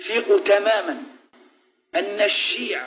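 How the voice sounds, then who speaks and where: Over music in the background, a man with an Algerian accent speaks at a high pitch. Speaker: Islamic preacher. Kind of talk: religious lecture.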